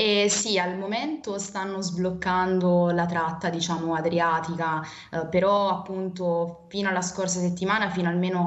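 A woman with monotone, flat intonation at a moderate pace. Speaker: university student volunteer; remote interviewee. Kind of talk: interview. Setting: remote video link. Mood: calm, concerned. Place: home room. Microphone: video call.

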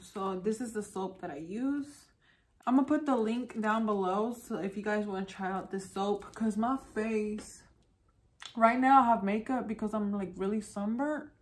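The speaker keeps a moderate pace and ordinary pitch variation. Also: woman. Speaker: beauty vlogger. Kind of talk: casual vlog chat. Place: home room.

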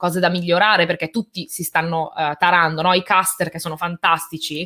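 The tone is bright and sharp. Behind it, the background stays quiet. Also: woman. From Italy, born in Albania, moved at age 4; Italy. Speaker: tech and gaming YouTuber, event presenter; interview guest, presenter. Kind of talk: casual interview chat. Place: home room.

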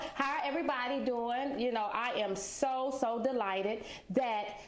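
Her pitch is fairly high, and this woman talks at a moderate pace with ordinary pitch variation. The room echo is audible. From South Carolina. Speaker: business owner, former prisoner. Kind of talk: personal testimony interview. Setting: on location at her branding agency. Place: studio.

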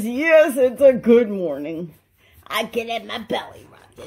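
The voice is a put-on character voice. Its pitch is fairly high. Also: moderate pace. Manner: happy, contented.

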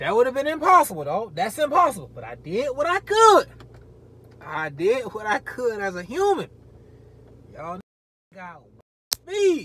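Raised and projected, a man's extremely high voice with a bright, sharp tone swings very widely in pitch and greatly in loudness at a moderate pace with long, frequent pauses, the sound dry with no echo over light background noise. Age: 30s. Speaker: respiratory therapist and YouTuber. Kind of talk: casual vlog monologue. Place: car. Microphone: phone near.

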